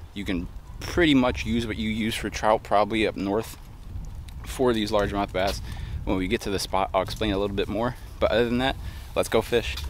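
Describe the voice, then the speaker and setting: With long, frequent pauses, a man speaks at a fairly quick pace in a fairly low pitch with ordinary pitch variation. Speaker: fishing vlogger. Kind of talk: vlog narration. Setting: outdoors by a pond. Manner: casual, filler-heavy; quiet, low voice.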